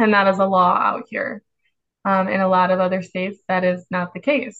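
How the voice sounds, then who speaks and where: A woman with an American accent talks at a moderate pace and medium pitch. Her intonation is monotone and flat, over a quiet background. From Chicago. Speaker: ICU nurse. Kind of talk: casual interview chat.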